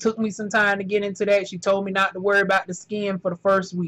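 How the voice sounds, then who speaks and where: A woman speaks in a strong Southern US accent. Her medium-pitched voice has an animated tone. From US South, North Carolina. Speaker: factory worker vlogger. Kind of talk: casual vlog monologue. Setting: indoors during thunderstorm. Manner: animated, colloquial.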